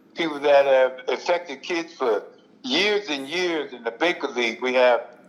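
Lively intonation marks a man's unremarkable speaking voice, pitched fairly high. He talks at a moderate pace. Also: big swings in loudness. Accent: American. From US, West Philadelphia. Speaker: retired basketball player. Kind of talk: casual interview.

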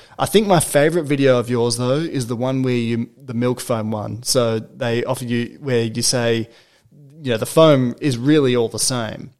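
A man with an Australian accent, medium pitch, fairly even intonation and a moderate pace. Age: 20s. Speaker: podcast host. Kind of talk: casual chat. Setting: guest's apartment.

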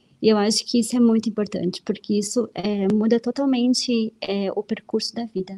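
A woman's somewhat breathy voice, dark and mellow in tone, fairly high in pitch, with fairly even intonation, a moderate pace and hardly any pauses. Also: dry, close sound with no echo. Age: 30s. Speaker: host's wife. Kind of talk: casual chat. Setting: live stream.

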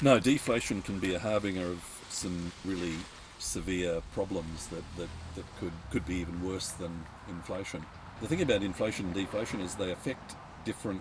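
A man with a very deep voice speaks fairly quickly in an Australian accent, with ordinary pitch variation. Noticeable background noise is present. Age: 60s. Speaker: professional share market investor. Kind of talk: casual chat. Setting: outdoors at a vineyard.

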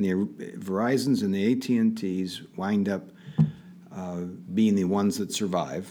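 With an American accent, a man speaks at a moderate pace in a fairly low, dark, mellow voice with ordinary pitch variation, long and frequent pauses, and audible room echo. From Pittsburgh area, Pennsylvania. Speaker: tech entrepreneur. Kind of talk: interview.

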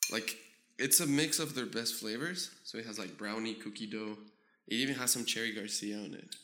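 Talking fairly quickly in a normal speaking voice, the man holds a medium pitch with ordinary pitch variation. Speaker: podcast guest, old friend of the host. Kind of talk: casual chat.

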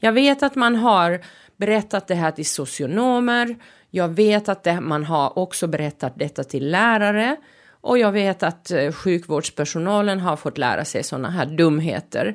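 Over a silent background in a very clean recording, a woman at medium pitch speaks at a fairly slow pace with lively intonation. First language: Finnish (speaking Swedish). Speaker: podcast host. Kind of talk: podcast monologue. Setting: studio.

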